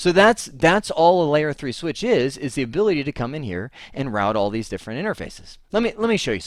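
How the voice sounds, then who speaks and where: In a very clean recording with a silent background, a man talks very fast at a fairly high pitch, his voice making very wide pitch swings. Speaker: networking instructor. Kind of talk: lecture. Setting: home office. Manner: animated.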